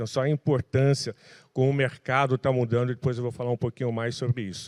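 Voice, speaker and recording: A man of medium pitch talks at a very fast pace in monotone, flat intonation. The background is quiet, and the sound is dry and close with no echo. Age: 60s. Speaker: tech industry association president. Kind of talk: panel talk.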